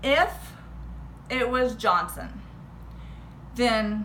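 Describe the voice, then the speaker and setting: A woman speaks with a slight Texan accent amid noticeable background noise. Audible room echo surrounds her voice. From Texas. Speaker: history teacher. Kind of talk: casual history rant to camera.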